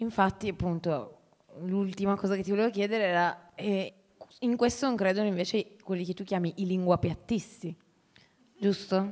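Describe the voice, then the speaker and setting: A woman at a medium pitch and moderate pace, with fairly even intonation, long, frequent pauses and a quiet background. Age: 30s. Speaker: teacher and writer, moderator; teacher, moderator. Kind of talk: moderated public conversation. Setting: stage with audience. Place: hall. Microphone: handheld.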